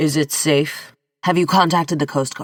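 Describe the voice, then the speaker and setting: A put-on character voice, raspy and at a middle pitch. It moves at a moderate pace. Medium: read story. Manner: fearful, demanding.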